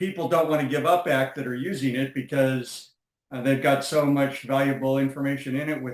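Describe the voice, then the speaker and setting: Moderate pace and fairly high pitch from a man. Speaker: software company co-founder. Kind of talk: interview. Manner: energetic, intense.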